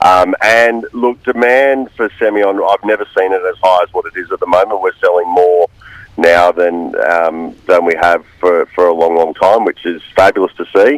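With an Australian accent, a man talks in a dry, close sound with no echo. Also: moderate pace. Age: 40s. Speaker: winemaker. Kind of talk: radio interview. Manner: hesitant, many fillers.

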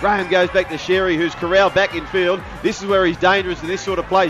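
Over music in the background, a man with an Australian accent talks at a fairly quick pace. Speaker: rugby league commentator. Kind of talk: live play-by-play rugby league highlights commentary. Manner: rapid-fire, clipped name-by-name play calling; rising excitement with exclamations at tries.

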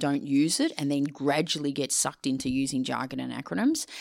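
A woman speaks with an Australian accent and a very deep, low pitch. The recording is very clean, with a silent background. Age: 50s. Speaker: leadership communication consultant and author. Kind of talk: podcast interview.

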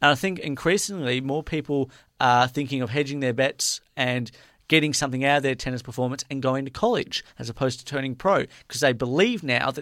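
In an Australian accent, a man talks at a fairly quick pace with fairly high pitch and ordinary pitch variation. The recording is very clean, with a silent background. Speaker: sports radio host. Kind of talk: casual sports chat. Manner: halting, filler-heavy.

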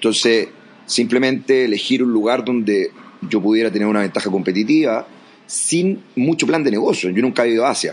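A man's medium-pitched voice at a fairly quick pace, with ordinary pitch variation and very even loudness. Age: 40s. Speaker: education entrepreneur and coach. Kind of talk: interview. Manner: halting.

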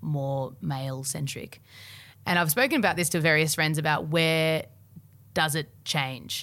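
In a very clean recording with a silent background, a woman with an Australian accent speaks at a very deep, low pitch. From Australia, Melbourne. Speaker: singer-songwriter. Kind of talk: casual chat. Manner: halting.

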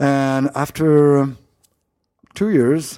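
A man's medium-pitched voice, dark and mellow in tone, with a French accent. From France, Paris. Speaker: winemaker. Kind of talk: interview. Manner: halting.

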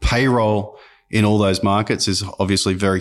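Over a silent background in a very clean recording, a man with an Australian accent speaks at a moderate pace with a fairly low pitch and flat, monotone intonation. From Australia, Sydney and rural NSW. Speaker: tech company founder and CEO. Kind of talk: interview conversation.

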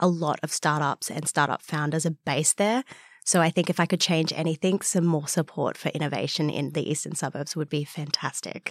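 Speaking at a fairly quick pace with an Australian accent, a woman with a very deep, low voice shows ordinary pitch variation in a very clean recording with a silent background and a dry, close sound with no echo. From Australia, Newcastle NSW. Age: young. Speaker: wildlife scientist and startup founder. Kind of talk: interview.

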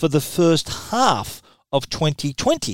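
A man with an Australian accent speaks at a high pitch with very wide pitch swings. The very clean recording has a silent background and a dry, close sound with no echo. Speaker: tech journalist and podcast host. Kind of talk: solo tech podcast monologue.

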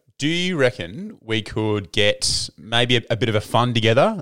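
In an Australian accent, a man is talking. The rise and fall of his pitch is ordinary. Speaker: podcast host. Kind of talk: casual chat. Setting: video call. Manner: animated.

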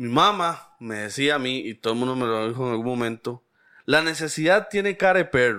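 A man with a Costa Rican accent, a bright, sharp tone and very wide pitch swings, at a moderate pace, on a very clean recording with a silent background. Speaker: podcast co-host. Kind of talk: casual chat.

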